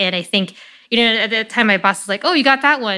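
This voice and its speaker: A woman's bright, sharp voice in an American accent, in a very clean recording with a silent background. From Chicago, US Midwest. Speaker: biotech startup CEO. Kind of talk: interview conversation.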